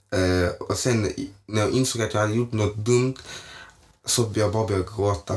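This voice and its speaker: Somewhat breathy and fairly low, a man's voice moves at a moderate pace with fairly even intonation. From Malmö, southern Sweden. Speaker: guest, friend of host. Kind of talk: casual chat.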